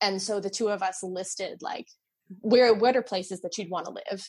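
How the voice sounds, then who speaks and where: Somewhat breathy, a woman speaks at medium pitch and a moderate pace with ordinary pitch variation. The recording is very clean, with a silent background. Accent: American. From New Jersey. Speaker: theater production manager and stage manager. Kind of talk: casual interview chat.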